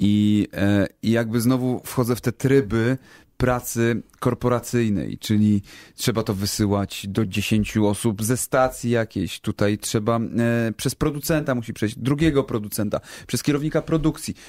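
A man with an ordinary speaking voice at medium pitch and moderate pace, ordinary pitch variation and very even loudness, in a very clean, dry, close recording with no echo and a silent background. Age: 30s. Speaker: YouTuber. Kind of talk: casual chat.

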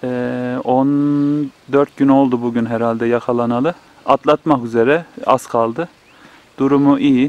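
A man speaks very slowly at a medium pitch, monotone and flat. The sound is dry and close with no echo, though background noise is noticeable. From Turkey, Kayseri (Develi village). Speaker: village life vlogger. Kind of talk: casual vlog narration. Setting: outdoors in a village garden.

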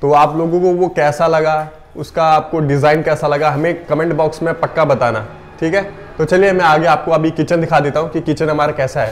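This man speaks at a moderate pace in a monotone, flat intonation, his loudness very even. Light background noise runs underneath. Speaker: cafe owner vlogger. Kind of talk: casual vlog tour. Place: kitchen. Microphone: phone near.

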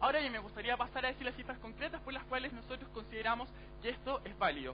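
A man speaks while noticeable background noise fills the recording. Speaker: university debater. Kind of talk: formal debate speech. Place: hall. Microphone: headset.

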